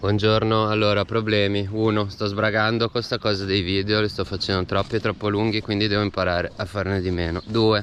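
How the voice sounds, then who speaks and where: A man speaks in a flat monotone at a very even loudness, with hardly any pauses. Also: fairly low pitch for a man, fairly quick pace. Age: 30s. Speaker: bicycle traveller. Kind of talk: casual travel vlog talk to camera. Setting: outdoors.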